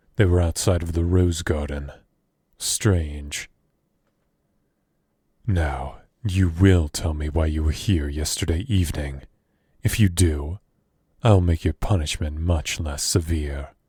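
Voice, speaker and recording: Putting on a character voice, a man speaks very deep and low at a fairly slow pace, with long, frequent pauses. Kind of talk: audio roleplay.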